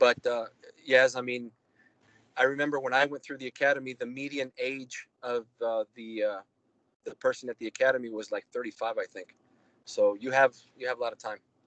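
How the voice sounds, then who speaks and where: In a Spanish accent, a man talks at medium pitch and a fairly quick pace, with monotone, flat intonation and long, frequent pauses. His loudness swings widely, and the sound is dry and close with no echo. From Mexico. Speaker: FBI special agent. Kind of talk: Q&A talk to students.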